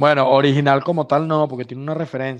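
Here is a man with a Venezuelan accent. His fairly high voice stays monotone and flat. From Venezuela (San Juan, grew up around Valencia). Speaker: comedian. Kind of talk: casual chat. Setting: video call. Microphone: unstable connection, video freezes.

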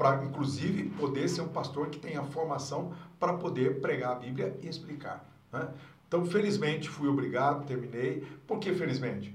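There is audible room echo and noticeable background noise as a man with a fairly high pitch speaks at a moderate pace with ordinary pitch variation. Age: 60s. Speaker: pastor, church district superintendent. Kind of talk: casual interview.

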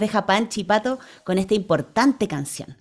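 A woman with a warm, playful tone talks at a moderate pace, her pitch swinging very widely. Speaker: children's radio co-host and singer. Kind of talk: casual radio chat. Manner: warm and playful.

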